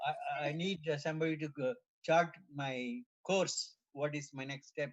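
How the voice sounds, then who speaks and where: Somewhat breathy, a man talks at a fairly high pitch with ordinary pitch variation. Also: moderate pace. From South India, near Tirupati. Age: 70s. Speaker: retiree at a devotional retreat. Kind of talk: casual chat.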